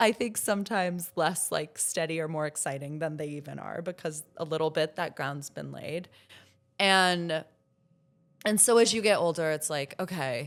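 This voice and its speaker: In a normal speaking voice, a woman with an American accent talks at a moderate pace and a fairly low pitch with ordinary pitch variation, on a very clean recording with a silent background. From Florida. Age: 30s. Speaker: journalist and podcast host. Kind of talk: casual chat. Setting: stage with audience.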